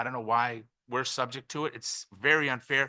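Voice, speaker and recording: A man's bright, sharp voice with fairly even intonation over a quiet background. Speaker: business owner testifying. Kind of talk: public testimony. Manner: fast.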